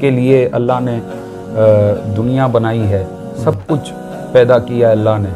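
Clear music plays in the background as a man speaks with fairly even intonation. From Karachi, Pakistan. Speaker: naat reciter. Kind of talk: interview answer. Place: studio. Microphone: lapel.

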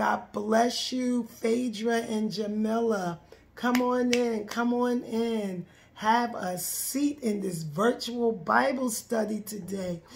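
A woman talks at a very slow pace with ordinary pitch variation. Light background noise can be heard. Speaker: minister leading Bible study. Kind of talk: live stream greeting, preaching style. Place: home room. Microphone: phone near.

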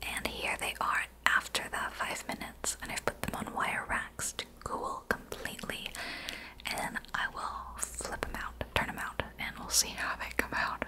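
Loud background noise surrounds a woman who speaks at a fairly slow pace. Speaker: baking vlogger. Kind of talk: casual vlog chat.

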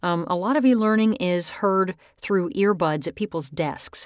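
A woman's plain, everyday voice at a medium pitch, with ordinary pitch variation and a moderate pace, in a very clean recording with a silent background. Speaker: voice actor. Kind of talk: software tutorial talk. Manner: casual, friendly.

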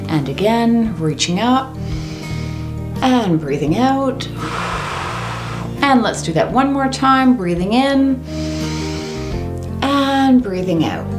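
Against clear music in the background, a woman speaks at a very slow pace with long, frequent pauses. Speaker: fitness instructor. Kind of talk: exercise class instruction. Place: home room.

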